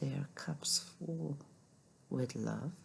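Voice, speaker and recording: A soft-spoken voice at a very slow pace. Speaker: tarot reader. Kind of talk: tarot reading to camera.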